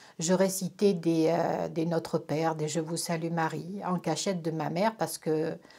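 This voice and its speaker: Very slowly, a woman talks in a fairly low voice with a dark, mellow tone. The recording is very clean, with a silent background. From France, Corrèze. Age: 60s. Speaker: religious convert. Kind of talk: testimony. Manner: hesitant, many fillers.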